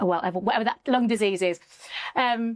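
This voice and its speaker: With a Birmingham accent, a woman speaks at a fairly quick pace and a fairly high pitch. Her pitch varies in an ordinary way, and the sound is dry and close with no echo. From Birmingham, England. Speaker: communication coach. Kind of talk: podcast interview.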